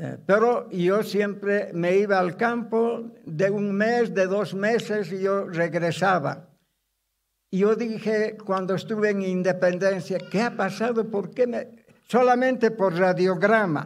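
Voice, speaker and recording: Against a quiet background, a man speaks very slowly at a high pitch with fairly even intonation. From Bolivia, Cochabamba; Bolivia. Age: 90s. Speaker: pastor. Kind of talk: testimony; sermon. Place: church. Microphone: podium.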